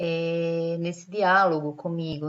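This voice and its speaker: A woman speaks over a quiet background. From Brazil, Northeast. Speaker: lecturer. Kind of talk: lecture.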